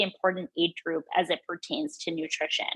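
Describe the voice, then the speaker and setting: The speaker is a woman. Her pitch moves in a lively way. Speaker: dietitian presenting on women's nutrition. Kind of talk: online presentation. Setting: video call. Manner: fast; hesitant fillers.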